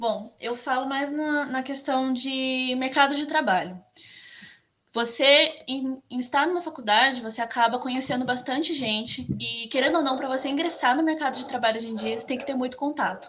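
A woman's raised, projected voice, high in pitch and bright and sharp in tone, at a moderate pace with ordinary pitch variation. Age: 20s. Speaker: graphic designer. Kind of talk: interview.

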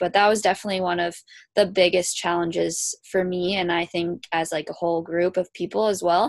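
A woman speaks at a moderate pace with a fairly low voice and an Ontario accent. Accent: Canadian (Ontario). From Kitchener, Ontario, Canada. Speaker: college hockey player. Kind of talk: interview.

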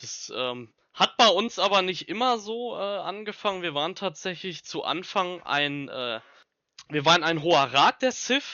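The speaker talks at a fairly slow pace with very wide pitch swings. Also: man. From Ruhr area, Germany (Bochum). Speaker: Star Wars fan club leader. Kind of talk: casual interview.

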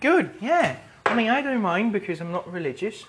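Moderate pacing from a male speaker over noticeable background noise. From Latin America. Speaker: podcast host. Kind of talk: casual solo monologue. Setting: at home in kitchen, cooking. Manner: rambling, meandering.

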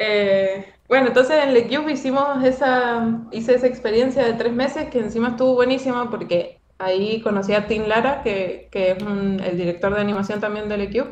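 Her pitch is fairly high, and the woman varies it in an ordinary way. She keeps a moderate pace with hardly any pauses. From Argentina, Mendoza. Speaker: animator. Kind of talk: casual interview.

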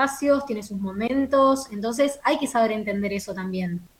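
This woman talks at a fairly quick pace, her fairly high pitch showing ordinary variation. Noticeable background noise runs underneath. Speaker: actress and broadcast announcer. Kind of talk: casual interview.

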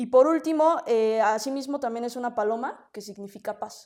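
Her pitch is fairly high, with ordinary variation and a dark, mellow tone. The woman keeps a fairly quick pace. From Mexico City. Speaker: political candidate. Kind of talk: interview.

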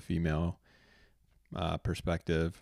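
A man's very deep, low voice in monotone, flat intonation at a moderate pace, in a very clean recording with a silent background. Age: 30s. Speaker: podcast host, expectant first-time father. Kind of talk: solo podcast introduction. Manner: hesitant, many filler words.

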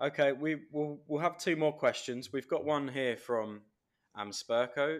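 The speaker has an English accent and talks at a fairly slow pace. Pitch varies in an ordinary way. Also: man, fairly high pitch for a man. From England. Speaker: podcast host. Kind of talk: interview.

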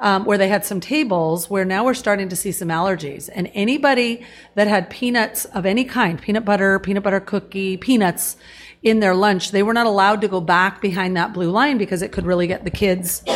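On a very clean recording with a silent background, a woman with a West Coast accent talks fairly quickly in a medium pitch with ordinary pitch variation. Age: 50s. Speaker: wellness product promoter. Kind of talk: casual interview. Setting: studio.

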